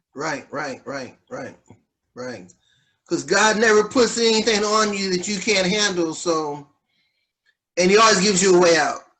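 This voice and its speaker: A man with a high voice speaks at a moderate pace with lively intonation and big swings in loudness. He leaves long, frequent pauses. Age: 60s. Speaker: pastor and podcast host. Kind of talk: interview.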